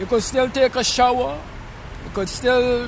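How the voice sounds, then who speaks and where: Amid noticeable background noise and audible room echo, a man with a Vincentian accent talks at a moderate pace with ordinary pitch variation. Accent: Vincentian Caribbean. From Saint Vincent, West Indies. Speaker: homeless man. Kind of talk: street interview. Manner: halting.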